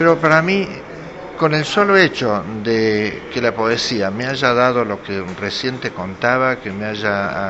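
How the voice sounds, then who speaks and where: Fairly slow speech from a man at a medium pitch, with noticeable background noise. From Argentina, Córdoba (Carlos Paz). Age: 60s. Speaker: poet. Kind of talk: casual talk, greeting message. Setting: cultural center event. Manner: hesitant with fillers.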